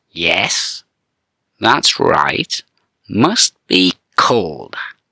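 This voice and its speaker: In a put-on character voice at medium pitch, a man speaks with a dry, close sound and no echo. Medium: read story. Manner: slimy, officious.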